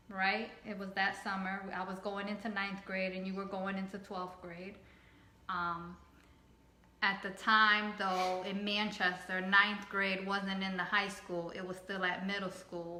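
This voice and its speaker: A woman with a Spanish accent speaks at a fairly slow pace and medium pitch, her intonation monotone and flat, with audible room echo. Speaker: family vlogger. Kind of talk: casual chat.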